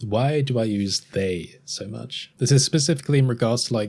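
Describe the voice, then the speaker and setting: Speaking in an Estuary accent, a man has a relaxed tone and ordinary pitch variation. The recording is very clean, with a silent background. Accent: Estuary English, between RP and Cockney. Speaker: YouTuber. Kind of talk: casual podcast monologue. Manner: casual, relaxed.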